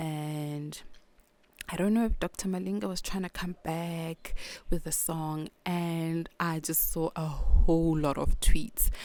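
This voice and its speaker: With a South African accent and fairly low pitch, a woman speaks at a very slow pace with big swings in loudness. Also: ordinary pitch variation. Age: 30s. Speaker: podcast host. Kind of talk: casual monologue. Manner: halting, self-interrupting.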